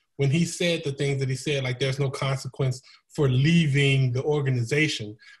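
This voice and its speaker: A man with an American accent speaks at a fairly high pitch, somewhat breathy. His intonation stays fairly even against a quiet background. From United States. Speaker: comedian and YouTuber; comedian, YouTuber. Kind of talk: casual panel discussion. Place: home room. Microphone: video call.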